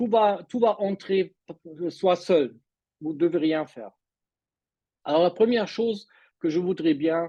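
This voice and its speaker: A man with a non-native accent and a high pitch speaks at a very slow pace. He uses ordinary pitch variation and leaves long, frequent pauses. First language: not French (speaking French). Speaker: mindset coach. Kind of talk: online presentation. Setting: video call. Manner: halting.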